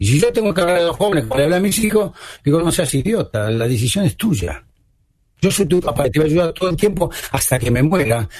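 A man at a fairly high pitch, with very wide pitch swings. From Argentina. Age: 70s. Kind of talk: radio interview.

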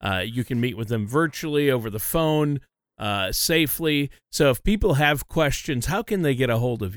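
With an unremarkable speaking voice, a man talks at medium pitch and moderate pace with lively intonation on a very clean recording with a silent background. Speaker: co-host and announcer. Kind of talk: informational podcast discussion.

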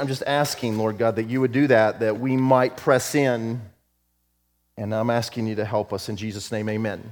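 The recording is very clean and the background silent. A man speaks at a moderate pace. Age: 50s. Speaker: pastor and prayer leader. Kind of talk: fervent spoken prayer to God; church announcement to congregation. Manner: fervent, intimate petitioning; earnest, pleading emphasis with repetition.

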